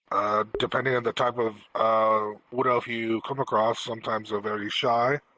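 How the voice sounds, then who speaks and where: A man's put-on character voice, raspy and monotone with flat intonation, medium in pitch, at a moderate pace with hardly any pauses and very even loudness. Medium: actual play. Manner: calm, measured.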